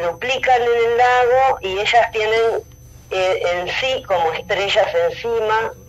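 Noticeable background noise accompanies a woman whose voice is fairly high in pitch. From Rosario, Argentina. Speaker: painter. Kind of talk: interview.

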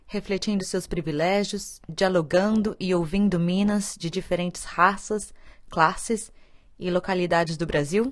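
Against a quiet background, a woman speaks at a fairly slow pace with medium pitch and fairly even intonation. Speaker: podcast host, theatre director. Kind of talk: scripted narration.

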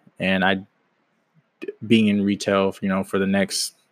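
Fairly slow, fairly low speech from a man with an American accent, dry and close with no echo, on a very clean recording with a silent background. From Washington State, US Pacific Northwest. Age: 20s. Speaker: aspiring entrepreneur, podcast host. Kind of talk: casual solo podcast monologue. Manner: halting, many fillers and false starts.

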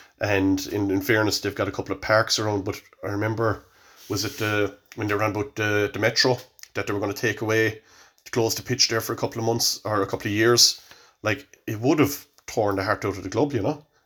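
This man speaks with a Cork accent at a fairly quick pace, his pitch fairly low and his intonation fairly even. The recording is very clean, with a silent background. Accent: Cork Irish. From Ireland, Cork. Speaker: hurling coach. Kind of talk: casual chat.

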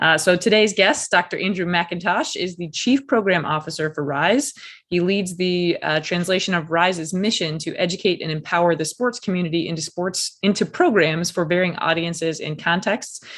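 This woman has an unremarkable speaking voice, fairly low in pitch, moving at a moderate pace with ordinary pitch variation and hardly any pauses. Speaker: podcast host. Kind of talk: interview.

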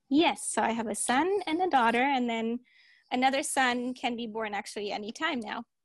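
Against a quiet background, a woman with a German accent speaks at a high pitch and a moderate pace. Her intonation is lively. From Germany. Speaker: podcast co-host. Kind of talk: casual chat.

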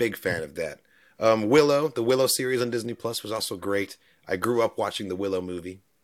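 With a plain, everyday voice, a man speaks at a medium pitch and a fairly quick pace with ordinary pitch variation, recorded very cleanly against a silent background. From New Zealand, moved to US in 2001 as a child. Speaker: YouTube reaction creator. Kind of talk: casual interview.

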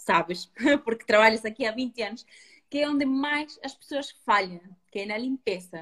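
A plain, everyday voice from a woman, fairly high in pitch with lively intonation. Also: moderate pace. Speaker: retail beauty host. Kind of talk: online live beauty talk.

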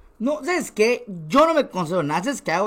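A man with a Yucatecan accent, extremely high-pitched and very fast, with very wide pitch swings, on a very clean recording over a silent background. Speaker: content creator. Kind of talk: casual chat.

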